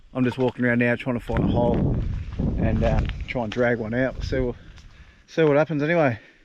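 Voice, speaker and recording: A man at medium pitch talks at a very fast pace with fairly even intonation, yet leaves long, frequent pauses. Noticeable background noise runs underneath. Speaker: travel vlogger. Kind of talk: casual vlog narration. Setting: outdoors. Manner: relaxed.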